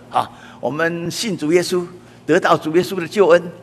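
A man speaks with a Taiwanese accent. Noticeable background noise is present. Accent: Taiwanese Mandarin. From Taiwan, Taipei. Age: 80s+. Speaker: church elder preacher. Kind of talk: sermon. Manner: frequent filler particles.

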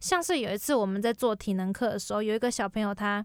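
A woman with a plain, everyday voice speaks fairly quickly at a fairly high pitch in a very clean recording with a silent background. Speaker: university student. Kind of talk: casual interview chat.

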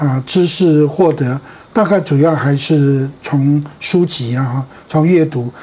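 Very slowly, a man with a rather high pitch speaks amid clearly audible background noise, his pitch varying in a normal way. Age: 70s. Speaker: pastor. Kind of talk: interview. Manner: halting.

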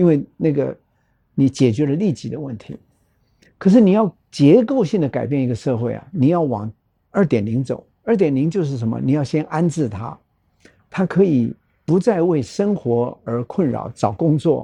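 A man's fairly high voice has a dark, mellow tone and very wide pitch swings. He keeps a moderate pace with long, frequent pauses, against a quiet background. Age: 70s. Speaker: nonprofit foundation chairman, former hotel executive. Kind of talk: interview conversation.

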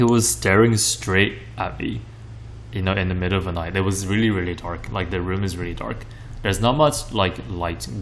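Over background music and audible room echo, a man with a very deep, low pitch speaks with lively intonation. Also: moderate pace. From Taiwan, Kaohsiung. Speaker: podcast co-host. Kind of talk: casual chat. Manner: hesitant, many fillers.

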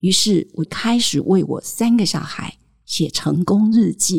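A woman's somewhat breathy voice in a Taiwanese accent, with ordinary pitch variation. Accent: Taiwanese Mandarin. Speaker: parenting podcast host. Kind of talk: storytelling monologue.

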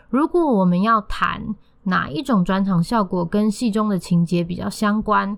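A woman talks at a fairly slow pace. Her pitch is medium, with ordinary variation. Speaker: podcast host and theatre critic. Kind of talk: scripted theatre review. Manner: formal, bookish wording.

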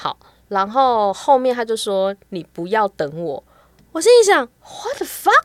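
A woman speaks at a very slow pace in a fairly high pitch, with very wide pitch swings and big swings in loudness. The sound is dry and close with no echo. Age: 40s. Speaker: astrologer. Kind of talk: casual chat.

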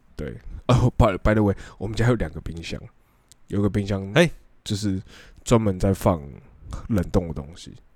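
A man with fairly low pitch and ordinary pitch variation speaks with long, frequent pauses and big swings in loudness. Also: moderate pace. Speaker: podcast co-host. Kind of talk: casual chat.

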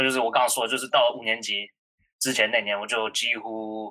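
This voice has a bright, sharp tone and moves at a fairly quick pace. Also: man. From New York. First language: English (speaking Chinese). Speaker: college student. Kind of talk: casual chat. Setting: online call.

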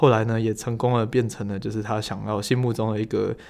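This man has a normal speaking voice with medium pitch. He talks at a fairly quick pace. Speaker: podcast host, energy educator. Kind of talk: casual interview chat.

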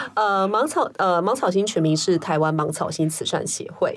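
A woman speaks in a normal speaking voice. Her pace is moderate and her intonation fairly even. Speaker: social worker. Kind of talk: interview conversation.

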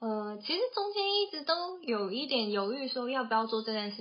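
A woman at a fairly high pitch, a fairly slow pace and ordinary pitch variation. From Taiwan, Taoyuan. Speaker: podcast co-host, tech company office worker. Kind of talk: casual chat.

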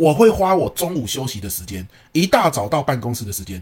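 A man talks at a very fast pace with very wide pitch swings. His voice is somewhat breathy. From Taiwan. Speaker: professional lecturer and podcast co-host. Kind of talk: casual chat.

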